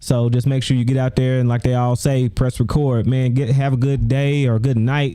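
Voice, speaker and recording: Despite noticeable background noise, a man speaks with hardly any pauses, very even loudness and a monotone, flat intonation. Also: medium pitch for a man, moderate pace. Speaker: YouTube livestream host. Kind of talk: casual livestream monologue. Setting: livestream. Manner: stutters, repeats words.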